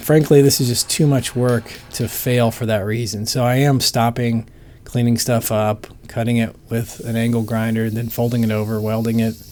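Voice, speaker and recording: At a moderate pace and medium pitch, a man talks in a relaxed tone with fairly even intonation, noticeable background noise behind him. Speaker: bladesmith. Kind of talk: casual workshop narration. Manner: relaxed, thinking aloud.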